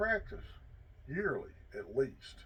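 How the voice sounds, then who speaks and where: A somewhat breathy male voice. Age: 60s. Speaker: hunting and firearms vlogger, army veteran. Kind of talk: casual instructional talk to camera.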